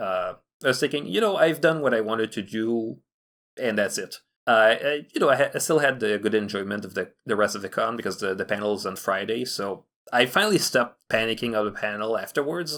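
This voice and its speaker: A medium-pitched man with a Quebec accent and lively intonation, in a very clean recording with a silent background. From Quebec (Montreal). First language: French. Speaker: fan animator. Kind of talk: casual chat. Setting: podcast recording.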